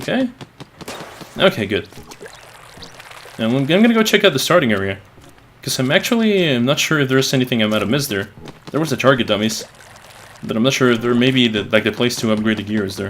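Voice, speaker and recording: A man speaks very fast at a medium pitch with lively intonation, broken by long, frequent pauses. Noticeable background noise runs underneath. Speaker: gaming youtuber. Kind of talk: let's play commentary. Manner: stuttering; halting. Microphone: capture echoes his voice back.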